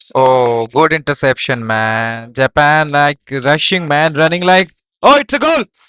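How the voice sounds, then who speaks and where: A fairly slow pace in a very clean recording with a silent background. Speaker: gaming streamer. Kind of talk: live reaction stream. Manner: animated; loud.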